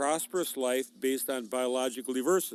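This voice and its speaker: This is a man with medium pitch and an ordinary speaking voice. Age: 60s. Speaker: farmer. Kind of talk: interview.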